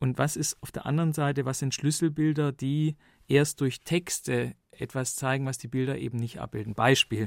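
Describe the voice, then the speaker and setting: This man has an unremarkable speaking voice, fairly high in pitch, talking at a moderate pace with fairly even intonation in a dry, close sound with no echo and a very clean recording over a silent background. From Stuttgart, Germany. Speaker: documentary filmmaker. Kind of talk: studio interview. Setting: studio.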